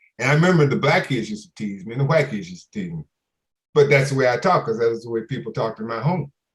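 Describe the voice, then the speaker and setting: Breathy to a degree, a man with a medium pitch speaks very fast, his loudness swinging widely. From Louisiana, then New York (Bronx). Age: old. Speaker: author and former corporate executive. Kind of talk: virtual book talk to an audience. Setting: video call.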